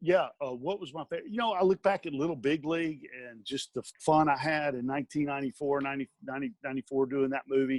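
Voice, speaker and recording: A man speaks very fast in an Alabama accent, with hardly any pauses. His voice is fairly high for a man, with ordinary pitch variation and a dry, close sound with no echo. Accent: Southern US (Alabama). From US South. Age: 50s. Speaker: stuntman and actor. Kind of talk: interview. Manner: halting, many fillers and restarts.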